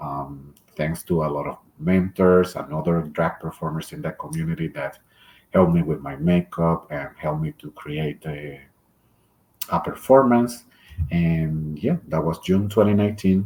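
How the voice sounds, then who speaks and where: Speaking in a Puerto Rican accent at a moderate pace, a man has a very deep, low voice. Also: ordinary pitch variation. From Puerto Rico. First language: Spanish. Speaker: drag performer. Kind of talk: interview. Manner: hesitant, with filler sounds.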